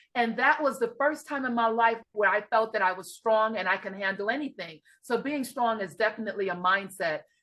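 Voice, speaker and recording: A woman speaks with a slight New York accent, barely pausing at all. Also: fairly high pitch for a woman, ordinary pitch variation, fairly quick pace. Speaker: life and grief coach. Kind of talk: interview.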